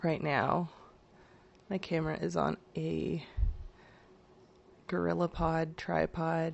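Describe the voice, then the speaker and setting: Quiet and raspy, a woman puts on a character voice and speaks at a very slow pace. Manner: speaking quietly, voice kept down.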